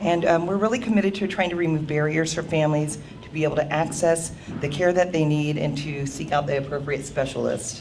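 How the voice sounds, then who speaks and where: A woman with a very deep, low pitch talks at a fairly quick pace with ordinary pitch variation, amid noticeable background noise and audible room echo. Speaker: parent consultant at a health services program. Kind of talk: conference presentation. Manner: loud.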